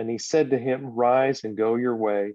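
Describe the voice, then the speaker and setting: A man speaks in a normal speaking voice with an American accent. His pitch is medium and his pace fairly slow. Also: dry, close sound with no echo. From Texas. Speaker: associate pastor. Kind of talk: casual chat.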